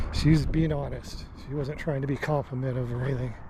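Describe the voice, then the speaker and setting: A man's speech is accompanied by noticeable background noise. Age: 60s. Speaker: hiking vlogger. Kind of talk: casual vlog monologue while hiking.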